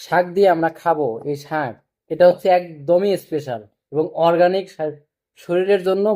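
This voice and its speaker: A man speaks at a high pitch in a dark, mellow tone. His pitch varies in an ordinary way. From Bangladesh. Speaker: vlogger, migrant factory worker. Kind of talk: casual vlog to camera. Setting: at a friend's home, cooking.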